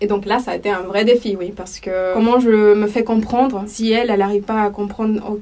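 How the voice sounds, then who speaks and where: Fairly quick speech with fairly even intonation amid noticeable background noise. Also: woman. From El Salvador. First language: Spanish (speaking French). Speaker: language teacher. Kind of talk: interview testimony.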